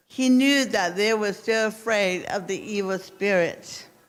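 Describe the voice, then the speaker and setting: Audible room echo surrounds a woman with a fairly high voice. She talks fairly slowly, with ordinary pitch variation. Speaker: missions speaker at church. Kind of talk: storytelling talk to congregation. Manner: halting, with self-corrections.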